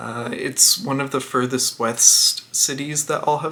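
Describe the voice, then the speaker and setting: Moderate pace with a Canadian accent, over noticeable background noise. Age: 20s. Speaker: travel vlogger. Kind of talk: casual talk to camera.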